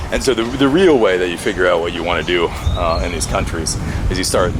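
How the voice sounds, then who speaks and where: Noticeable noise fills the background. A man speaks very fast. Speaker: vlogger. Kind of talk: casual vlog monologue. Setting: outdoors, walking with camera. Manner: stutters at times.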